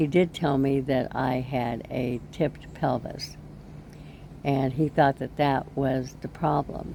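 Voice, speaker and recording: Over noticeable background noise, a woman with a very deep, low pitch speaks very slowly in a monotone, flat intonation. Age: 70s. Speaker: vlogger. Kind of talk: personal vlog talk. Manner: halting.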